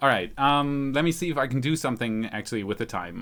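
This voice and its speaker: A man with a slight German accent. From Germany. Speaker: space news YouTuber. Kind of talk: live stream chat. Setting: home live stream. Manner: casual, hesitant with fillers.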